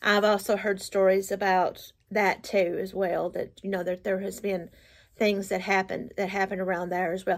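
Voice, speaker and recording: With a quiet background, a woman talks in a monotone, flat intonation. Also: moderate pace. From Appalachian United States. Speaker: storyteller. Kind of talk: casual storytelling to camera. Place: home room. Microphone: phone near.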